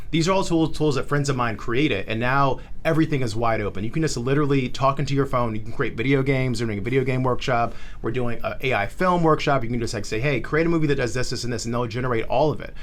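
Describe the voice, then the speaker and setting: In a room with audible echo, a medium-pitched man talks very fast, with ordinary pitch variation. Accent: American. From South Florida, originally Charlotte. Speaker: tech startup founder and community organizer. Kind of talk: podcast interview. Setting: co-working space studio. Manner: animated.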